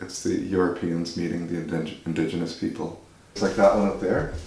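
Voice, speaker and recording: A man speaks with a Maritime Canadian accent. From Nova Scotia, Canada. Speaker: visual artist. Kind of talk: interview answer.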